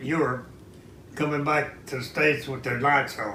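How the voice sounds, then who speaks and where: A man with an American accent speaks at a moderate pace and a fairly high pitch. There is noticeable background noise. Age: 90s. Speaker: war veteran. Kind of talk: interview answer.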